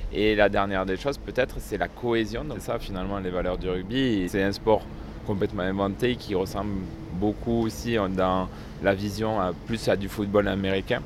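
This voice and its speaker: The voice carries fairly even intonation over noticeable background noise. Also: man, fairly low pitch for a man, moderate pace. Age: 30s. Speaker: wheelchair rugby player. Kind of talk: interview.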